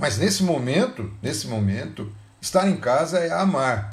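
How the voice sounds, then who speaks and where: A man's very slow, somewhat breathy voice with very wide pitch swings and audible room echo. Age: 60s. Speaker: pastor. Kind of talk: sermon.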